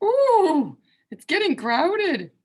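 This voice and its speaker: A woman performs a put-on character voice. Its pitch is extremely high and swings very widely. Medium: read story.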